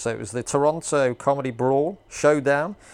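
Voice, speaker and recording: Speaking in a British accent, a man keeps a moderate pace. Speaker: podcast host and stand-up comedian. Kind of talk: casual interview chat. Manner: jokey.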